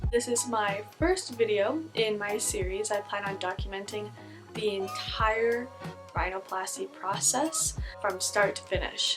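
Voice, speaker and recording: There is music in the background. Over it, a woman talks rather slowly. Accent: Canadian. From Vancouver, Canada. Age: 20s. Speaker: blogger. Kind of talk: casual talk to camera.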